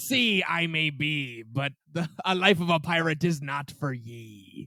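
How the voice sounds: A man puts on a character voice with a fairly high pitch. He speaks at a fairly slow pace.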